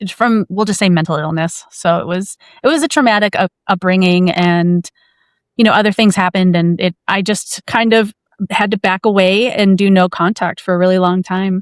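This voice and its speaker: An unremarkable speaking voice with an American accent talks at a moderate pace with fairly even intonation. The sound is dry and close, with no echo. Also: woman, medium pitch for a woman, very clean recording, silent background. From US Upper Midwest (Minnesota). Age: 40s. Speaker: podcast host. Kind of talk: personal interview conversation.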